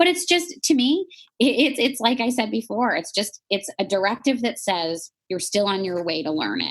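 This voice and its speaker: A woman with a Chicago accent speaks at a fairly high pitch with very wide pitch swings. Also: moderate pace. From Chicago, US. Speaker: life coach and author. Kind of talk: podcast interview.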